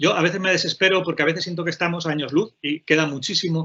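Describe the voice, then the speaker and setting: Fairly even intonation from a man pitched fairly high. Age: 40s. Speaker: playwright, poet and teacher. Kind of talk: panel talk. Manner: fast; halting.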